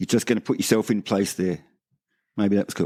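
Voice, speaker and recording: A man with an Australian accent talks at a fairly quick pace. The recording is very clean, with a silent background and a dry, close sound with no echo. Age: 60s. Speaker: veteran skateboarder. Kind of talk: casual chat.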